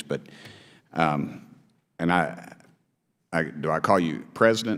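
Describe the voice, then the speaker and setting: A man with an East Tennessee accent speaks with vocal fry. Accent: Southern US, East Tennessee. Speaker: congressman. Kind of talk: committee hearing questioning. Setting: congressional hearing room. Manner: halting.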